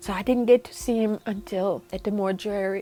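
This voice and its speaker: Over music in the background, a woman speaks with lively intonation at a fairly high pitch. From Germany. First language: German. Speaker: bereaved mother and advocate. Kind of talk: personal testimony interview.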